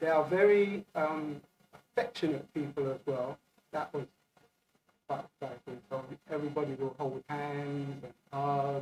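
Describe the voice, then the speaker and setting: Somewhat breathy and fairly high in pitch, a man speaks at a fairly slow pace with long, frequent pauses. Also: ordinary pitch variation. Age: 60s. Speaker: traveller sharing experiences. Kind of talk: podcast interview. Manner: hesitant, with many fillers.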